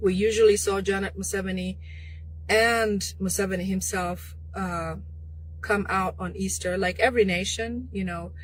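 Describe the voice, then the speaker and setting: Audible room echo follows a woman as she talks at a moderate pace. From Uganda. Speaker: political commentator. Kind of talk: live stream monologue. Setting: live online broadcast. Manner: hesitant, filler-heavy.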